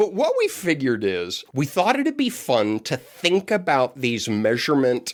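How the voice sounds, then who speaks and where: The recording is very clean and the background silent. A man talks at a moderate pace. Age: 60s. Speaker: podcast co-host. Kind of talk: casual chat. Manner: animated.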